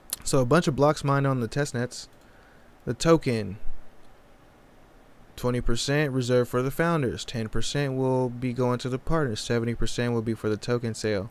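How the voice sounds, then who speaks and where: Over a very clean recording with a silent background, a man of medium pitch talks at a fairly quick pace with fairly even intonation and long, frequent pauses. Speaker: crypto YouTuber. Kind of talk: live stream commentary. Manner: fast; halting when reading.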